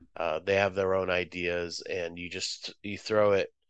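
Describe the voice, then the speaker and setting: A man speaks in a plain, everyday voice, fairly low in pitch. His pace is fairly slow against a quiet background. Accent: American. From Moscow, Russia; raised Boston area from age seven. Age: 50s. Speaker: visual artist and writer. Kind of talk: interview.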